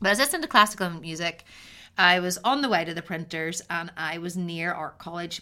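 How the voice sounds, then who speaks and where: A woman speaks fairly quickly with a Northern Irish accent, her fairly low pitch carrying ordinary variation and a bright, sharp tone. The recording is very clean, with a silent background. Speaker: podcast host and artist. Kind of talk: solo podcast monologue. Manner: preachy delivery.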